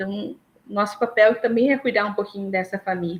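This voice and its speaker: Ordinary pitch variation in a woman's voice of medium pitch. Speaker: social worker. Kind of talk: online lecture. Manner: hesitant, many fillers.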